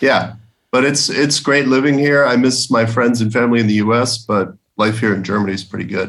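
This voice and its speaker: A man's medium-pitched voice with an American accent, at a fairly quick pace with ordinary pitch variation. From Connecticut, US. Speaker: poker fan. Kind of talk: interview.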